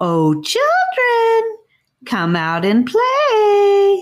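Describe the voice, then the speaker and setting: Pitched extremely high, the voice is a put-on character voice. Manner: mock sweet, gleeful.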